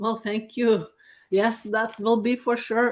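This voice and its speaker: Speaking with a Norwegian accent, a woman uses a fairly high pitch and fairly even intonation at a fairly slow pace. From Norway. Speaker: dairy farmer. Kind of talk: webinar presentation.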